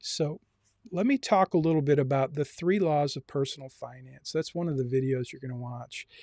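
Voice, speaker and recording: An unremarkable speaking voice from a man, fairly high in pitch with ordinary pitch variation, at a moderate pace in a dry, close sound with no echo. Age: 60s. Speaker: university personal finance instructor. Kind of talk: online class lecture. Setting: Zoom meeting live streamed.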